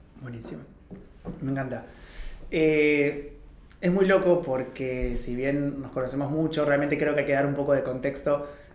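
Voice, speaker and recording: Audible room echo surrounds this moderate-paced speech, which has fairly even intonation and long, frequent pauses. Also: man, fairly high pitch for a man. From Argentina, Paraná, Entre Ríos. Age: 30s. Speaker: podcast host, business owner. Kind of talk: casual interview.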